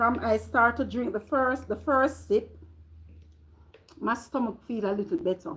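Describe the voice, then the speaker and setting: A woman with a Jamaican accent and vocal fry talks at a fairly slow pace in an animated tone, leaving long, frequent pauses. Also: fairly high pitch for a woman, ordinary pitch variation. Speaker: vlogger. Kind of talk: casual live-stream chat. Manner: halting.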